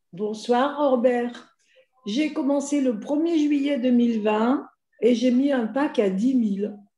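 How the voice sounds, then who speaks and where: A woman's high-pitched voice at a very slow pace, with very even loudness and ordinary pitch variation. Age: 70s. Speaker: investor giving testimony. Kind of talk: testimony.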